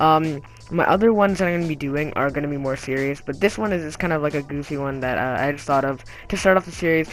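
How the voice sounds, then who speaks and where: Music plays in the background as the speech rushes by at a very fast pace. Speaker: gaming YouTuber. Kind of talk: casual video commentary. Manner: frequent filler words (um); casual, halting. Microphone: low quality recording.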